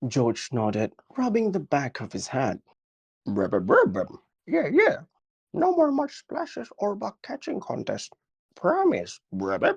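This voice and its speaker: In a croaky, put-on character voice, a man speaks at a fairly slow pace. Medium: read story. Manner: croaky, constantly says rub rub.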